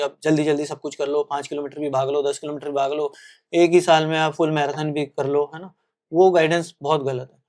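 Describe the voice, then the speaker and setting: A man talks in a fairly high pitch with monotone, flat intonation. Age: 40s. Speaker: marathon runner and coach. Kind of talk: podcast interview.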